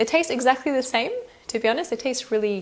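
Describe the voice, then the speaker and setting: This is a normal speaking voice. A woman talks at a fairly quick pace with ordinary pitch variation. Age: 20s. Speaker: cake decorating youtuber. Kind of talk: casual Q&A talk to camera.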